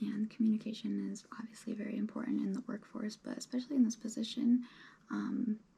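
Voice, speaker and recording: A relaxed, soft-spoken woman talks in a dark, mellow tone with vocal fry, her fairly high pitch held in a flat monotone. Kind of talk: ASMR roleplay, relaxed job interview. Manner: soft-spoken, rambling, relaxed.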